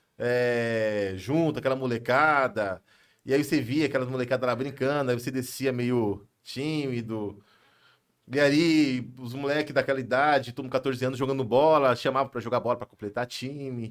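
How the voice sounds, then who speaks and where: In a plain, everyday voice, a man speaks at medium pitch and a moderate pace with fairly even intonation, on a very clean recording with a silent background. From São Paulo, Brazil. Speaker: pastor and businessman. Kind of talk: podcast interview. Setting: live podcast studio.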